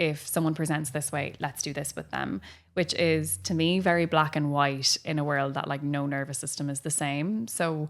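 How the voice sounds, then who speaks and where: A woman with an Irish accent speaks at a moderate pace in a very deep, low pitch. The recording is very clean, with a silent background. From Ireland. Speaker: physiotherapist and breathwork trainer. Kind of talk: interview answer.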